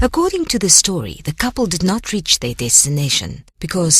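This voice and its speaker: A woman's somewhat breathy voice moves at a moderate pace through very wide pitch swings. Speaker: audiobook narrator. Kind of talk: ghost story narration.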